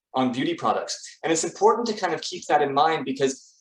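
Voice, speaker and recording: The speaker talks at a moderate pace with ordinary pitch variation. The voice has a Canadian accent. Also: man. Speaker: salon marketing company founder. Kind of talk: webinar presentation. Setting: video call. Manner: hesitant, many fillers.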